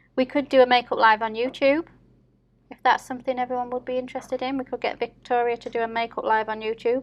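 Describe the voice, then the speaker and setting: A woman with a Yorkshire accent, high-pitched and very fast, flat and monotone in intonation, with big swings in loudness. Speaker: nail artist YouTuber. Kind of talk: casual chat. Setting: live stream.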